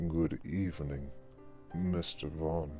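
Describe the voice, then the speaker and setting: A put-on character voice plays over clear background music. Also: man, very deep, low pitch for a man. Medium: read story. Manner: courteous, chilling.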